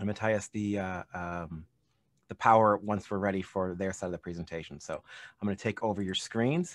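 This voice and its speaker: With a fairly low pitch and fairly even intonation, a man talks at a fairly quick pace, the sound dry with no echo and the background quiet. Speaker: gallery presenter. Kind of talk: webinar hosting. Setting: video call. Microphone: video call.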